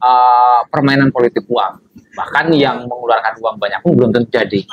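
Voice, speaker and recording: Loudness stays very even throughout. The pace is moderate and the intonation fairly even. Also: man, medium pitch for a man. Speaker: election organizer. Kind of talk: podcast interview. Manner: hesitant, many fillers.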